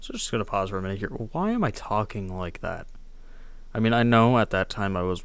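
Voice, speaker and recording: Soft-spoken and at a moderate pace, a man talks with audible room echo around him. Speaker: youtuber reacting to own old video. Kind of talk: casual commentary.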